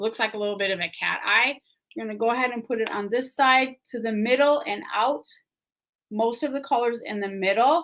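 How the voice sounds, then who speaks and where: An ordinary speaking voice from a woman, fairly high in pitch with ordinary pitch variation, at a fairly quick pace on a very clean recording with a silent background. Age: 50s. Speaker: beauty brand ambassador and makeup vlogger. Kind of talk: makeup tutorial livestream. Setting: livestream. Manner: casual, chatty.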